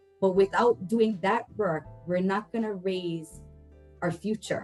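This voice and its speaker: A woman's voice with ordinary pitch variation, music playing in the background. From Hilo, Hawaii. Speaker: family advocate. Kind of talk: interview answer.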